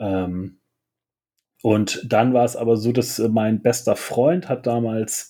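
A man talks in a normal speaking voice at a medium pitch. The recording is very clean, with a silent background. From northern Germany, south of Hamburg. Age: 40s. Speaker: clothing shop owner. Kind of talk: casual chat.

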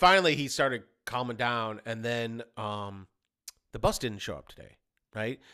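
A man's bright, sharp, medium-pitched voice at a moderate pace, with long, frequent pauses, in a very clean recording with a silent background. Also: ordinary pitch variation, big swings in loudness. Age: 40s. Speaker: podcast co-host and woodworker. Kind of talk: casual chat.

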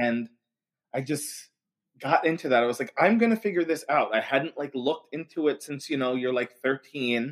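A plain, everyday voice: a man with a fairly high pitch, a moderate pace, ordinary pitch variation and an American accent. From Long Island, New York. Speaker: occult community founder. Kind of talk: casual chat.

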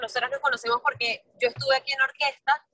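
In a dry, close sound with no echo, a woman uses a raised, projected voice, high in pitch with a bright, sharp tone, talking at a fairly quick pace in a monotone, flat intonation. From Venezuela, San Cristóbal. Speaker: singer and musical theatre actress. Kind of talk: casual interview.

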